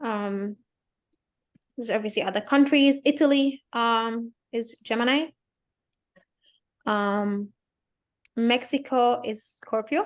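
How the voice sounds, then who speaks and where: Here a woman speaks at a very slow pace with long, frequent pauses. Her pitch is fairly high, with ordinary pitch variation. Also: quiet background. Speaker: astrologer. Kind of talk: lecture.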